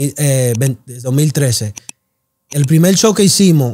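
Fairly high in pitch, a man's voice comes across as somewhat breathy. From South Bronx, New York. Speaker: clothing brand founder. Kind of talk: interview.

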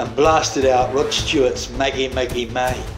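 Background music accompanies the voice. A man speaks at a fairly slow pace. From British. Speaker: former sea captain. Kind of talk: personal storytelling narration.

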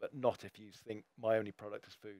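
Against a quiet background, a man speaks at a fairly quick pace with fairly even intonation, the sound dry and free of echo. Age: 50s. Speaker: ecologist; guest. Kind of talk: panel discussion. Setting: live event with audience. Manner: repeats words, halting. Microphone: headset.

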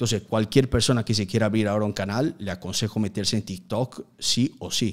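A man at a fairly quick pace with hardly any pauses, fairly low in pitch, with fairly even intonation and a quiet background. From Italy, Udine near Venice; Italy. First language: Italian (speaking Spanish). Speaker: youtuber. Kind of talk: casual interview. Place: studio. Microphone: studio mic.

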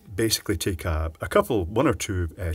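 This man's voice comes across as somewhat breathy. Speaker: presenter. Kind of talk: tutorial. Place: workshop.

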